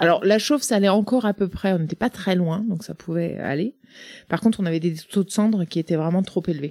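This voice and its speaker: A woman's plain, everyday voice at medium pitch, fairly quick in pace, with ordinary pitch variation. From Brittany, Côtes d'Armor. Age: 40s. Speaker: startup founder. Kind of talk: interview.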